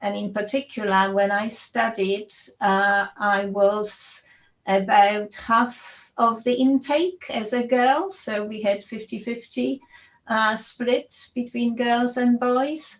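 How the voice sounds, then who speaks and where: Speaking very slowly in a fairly high voice, a woman with a Polish accent shows ordinary pitch variation. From Poland. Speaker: computer science professor. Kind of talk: panel discussion. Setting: video call.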